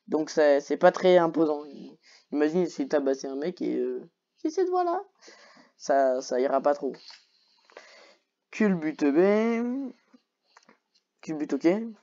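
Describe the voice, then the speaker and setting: Long, frequent pauses break up talking that moves at a very slow pace. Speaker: YouTuber reacting to Pokémon list. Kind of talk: casual solo commentary. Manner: animated; hesitant, many fillers.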